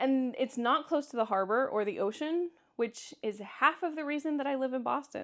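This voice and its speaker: A woman with a Kansas accent, a high pitch and lively intonation at a moderate pace, on a very clean recording with a silent background. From Kansas, US Midwest. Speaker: vlogger. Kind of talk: casual vlog Q&A. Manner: halting, with frequent restarts.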